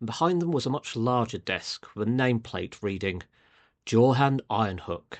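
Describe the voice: The reading aloud is plain, with lively intonation and a quiet background.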